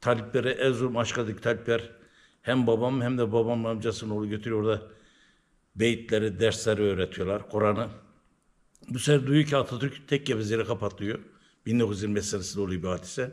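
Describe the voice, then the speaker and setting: A man with an eastern Turkish accent speaks at a fairly quick pace. His pitch is medium and his intonation fairly even. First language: Zaza (speaking Turkish). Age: 70s. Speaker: Alevi religious elder. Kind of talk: interview, oral history.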